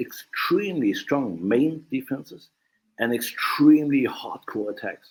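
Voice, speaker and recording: A man with a German accent at a fairly slow pace. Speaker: martial arts instructor. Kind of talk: podcast interview. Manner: halting, many fillers.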